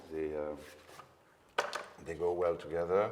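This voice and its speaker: A man with a Belgian French accent talks at a moderate pace in a very deep, low pitch over noticeable background noise. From Belgium. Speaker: paint company founder. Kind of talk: interview. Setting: showroom. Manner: hesitant, many fillers.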